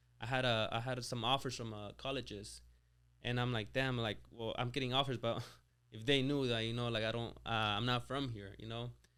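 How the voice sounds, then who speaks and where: In a slight Spanish accent, a man talks at a fairly quick pace and medium pitch, his tone bright and sharp but his intonation flat and monotone. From Mexico, raised near Lake Tahoe, California. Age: 20s. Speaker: business owner. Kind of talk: interview. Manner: casual, halting with many fillers.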